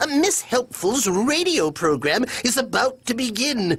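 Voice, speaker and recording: A man's cartoonish character voice at an extremely high pitch, with very wide pitch swings and a moderate pace. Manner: prim, fretful, proper.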